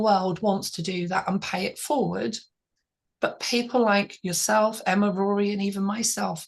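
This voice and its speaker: The speaker is a woman with a medium pitch. There is some breathiness in her voice. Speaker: author mentor and channel host. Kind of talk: interview.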